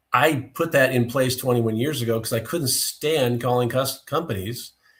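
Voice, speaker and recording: A somewhat breathy man at a medium pitch with ordinary pitch variation, on a very clean recording with a silent background. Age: 60s. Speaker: business owner, testing equipment expert. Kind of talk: podcast interview.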